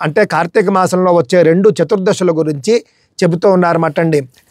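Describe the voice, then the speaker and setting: A man speaks in a calm tone with a high pitch and ordinary pitch variation. The sound is dry and close, with no echo. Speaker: spiritual discourse narrator. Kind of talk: devotional religious discourse (pravachanam). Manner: calm, devotional, explanatory.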